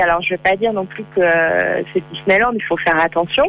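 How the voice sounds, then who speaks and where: Music plays behind a woman as she talks. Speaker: freelance travel blogger. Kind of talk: phone interview. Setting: phone call. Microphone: far from the phone.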